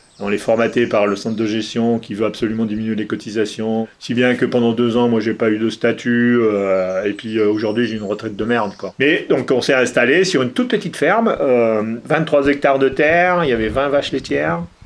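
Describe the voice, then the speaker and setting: The delivery is fairly quick, with hardly any pauses. Pitch variation is ordinary. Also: man, medium pitch for a man. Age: 60s. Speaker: retired dairy farmer. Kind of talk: interview testimony. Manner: hesitant, many fillers.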